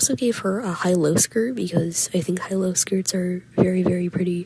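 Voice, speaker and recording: Soft-spoken speech comes at a fairly quick pace over noticeable background noise. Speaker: digital artist. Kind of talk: casual unscripted voiceover commentary. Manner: quiet, soft-spoken.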